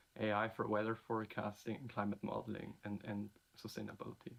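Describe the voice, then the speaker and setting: The speaker has a German accent. The pace is fairly quick. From Germany. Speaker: PhD student, award recipient. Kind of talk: video self-introduction.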